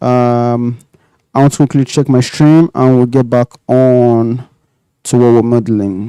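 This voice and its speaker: A man talks at a fairly slow pace with a medium pitch, fairly even intonation and a dark, mellow tone. The sound is dry and close with no echo, over a quiet background. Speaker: 3D modelling streamer. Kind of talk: live tutorial. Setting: live stream. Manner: soft-spoken, not projecting; casual, thinking aloud.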